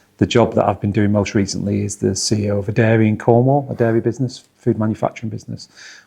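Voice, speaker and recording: With a Manchester accent, a man talks at a very fast pace in a dark, mellow tone and fairly even intonation. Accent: Northwest Manchester. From northwest England, Oldham/Manchester. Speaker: football club chief executive. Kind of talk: interview.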